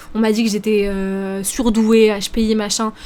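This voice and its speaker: Fairly high pitch from a woman, noticeable background noise behind her. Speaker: streamer. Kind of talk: live stream chat reacting to viewers. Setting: live stream. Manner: fast; hesitant, many fillers.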